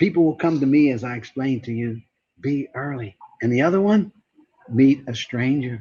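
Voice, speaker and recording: Fairly high-pitched and animated in tone, a man talks at a moderate pace. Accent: American. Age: 60s. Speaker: networking speaker and trainer. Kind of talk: motivational talk.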